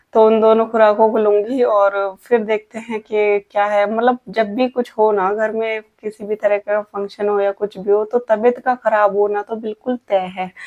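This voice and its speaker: A woman with a fairly high pitch talks at a moderate pace in a flat monotone, with hardly any pauses. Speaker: family vlogger, housewife. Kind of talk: casual vlog talk to camera.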